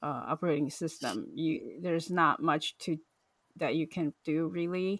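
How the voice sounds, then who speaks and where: A woman talks in a fairly low voice with ordinary pitch variation. The recording is very clean with a silent background, and the sound is dry and close with no echo. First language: not English. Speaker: podcast host. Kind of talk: casual chat. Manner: halting.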